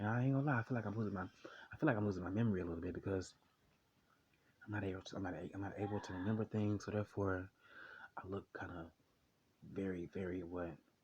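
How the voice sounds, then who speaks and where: Talking at a very fast pace, a man sounds somewhat breathy, with ordinary pitch variation. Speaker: vlogger. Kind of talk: personal vlog monologue. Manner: halting, many repetitions.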